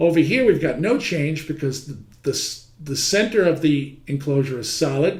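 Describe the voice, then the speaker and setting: A man with a fairly high pitch and ordinary pitch variation is heard with audible room echo. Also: moderate pace. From New York City (Manhattan). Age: 60s. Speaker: heating trade teacher. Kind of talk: lecture. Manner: conversational.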